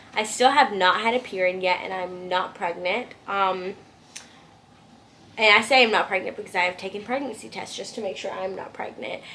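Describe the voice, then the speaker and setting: Over noticeable background noise, a woman with a medium pitch and ordinary pitch variation speaks with big swings in loudness. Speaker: vlogger. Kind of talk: casual chat. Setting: at home. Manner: fast.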